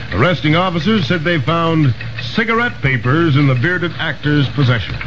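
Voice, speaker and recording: With an American accent, a man speaks at a moderate pace and fairly high pitch, his loudness very even, over noticeable background noise. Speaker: radio newscaster. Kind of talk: radio newscast reading. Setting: vintage 1960s radio broadcast recording.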